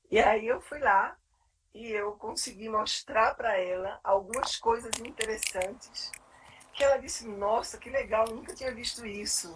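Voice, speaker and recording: Fairly slow, somewhat breathy speech from a woman, with ordinary pitch variation and big swings in loudness. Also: fairly high pitch for a woman. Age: 60s. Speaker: psychologist and clinical supervisor. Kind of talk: live webinar conversation. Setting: live stream.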